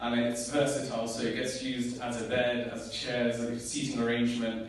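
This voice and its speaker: The recording carries noticeable background noise. A man speaks at medium pitch. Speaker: spoken word poet. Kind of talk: introducing a poem to a live audience.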